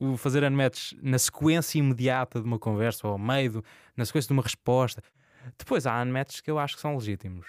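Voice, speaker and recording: Male voice at a medium pitch and fairly quick pace, an unremarkable speaking voice with ordinary pitch variation, dry and close with no echo on a very clean recording with a silent background. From Azores, Portugal. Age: 20s. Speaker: journalist. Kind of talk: casual interview.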